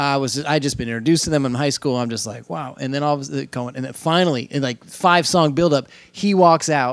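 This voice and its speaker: A man talks fairly quickly in a fairly high pitch. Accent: American. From Indiana. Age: 40s. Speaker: drummer. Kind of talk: casual chat. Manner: animated.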